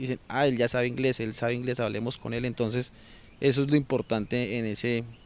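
The voice is monotone, with flat intonation, at a fairly quick pace. The sound is dry with no echo. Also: man. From Colombia, Bogotá. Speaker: insurance broker, language student. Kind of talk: testimonial. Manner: halting, many fillers and repetitions. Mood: calm, positive. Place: garden. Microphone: handheld.

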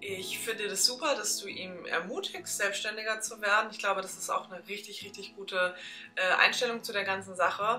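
Faint music plays in the background as a woman speaks at a fairly quick pace. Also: fairly even intonation. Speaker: vlogger. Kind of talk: casual vlog chat. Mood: earnest, reflective. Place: home room.

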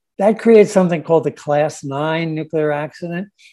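In a quiet background, a man speaks with a fairly high pitch and a dark, mellow tone. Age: 70s. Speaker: nuclear engineer. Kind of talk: press conference talk. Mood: serious, concerned. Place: home room. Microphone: video call.

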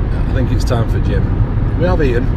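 A man speaks with a dry sound and no echo over loud background noise. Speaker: vlogger. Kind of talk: casual vlog chat. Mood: relaxed, joking. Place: car. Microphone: phone near.

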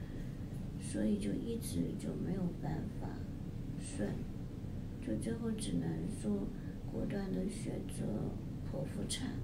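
A woman speaks at a very slow pace with long, frequent pauses. Loud background noise fills the recording. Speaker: new mother vlogger. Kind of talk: casual vlog chat. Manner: weak, drowsy post-surgery voice.

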